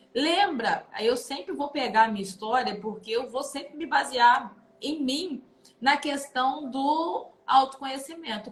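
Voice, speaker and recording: A high-pitched woman's voice, fairly slow and with lively intonation. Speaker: psychoanalyst hosting a live stream. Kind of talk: motivational live talk. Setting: online live stream.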